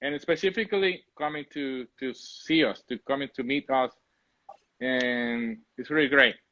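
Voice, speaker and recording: Recorded dry and close with no echo, a man with a Spanish accent speaks at a fairly slow pace in a bright, sharp tone with ordinary pitch variation. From Puerto Rico. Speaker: coffee shop owner. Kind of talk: casual interview chat. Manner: halting, repeats words.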